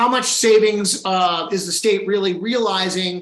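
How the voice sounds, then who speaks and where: The man speaks with a high pitch. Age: 60s. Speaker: healthcare policy advocate. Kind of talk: panel discussion.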